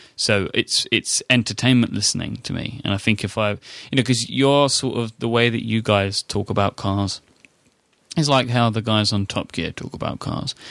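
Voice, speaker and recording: A man speaks at a moderate pace with a British accent, his pitch medium and his intonation fairly even. The sound is dry and close, with no echo. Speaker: podcast host. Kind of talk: casual interview.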